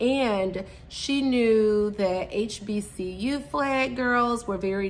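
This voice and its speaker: In a room with audible echo, a woman talks in an animated tone. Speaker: podcast host. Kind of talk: casual monologue.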